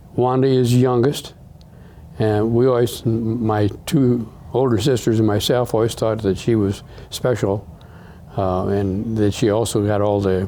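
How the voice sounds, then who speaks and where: A man talks at a fairly slow pace in a fairly low pitch, his tone dark and mellow and his intonation fairly even. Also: very even loudness. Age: 80s+. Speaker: interviewee's brother. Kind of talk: interview reminiscence. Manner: halting.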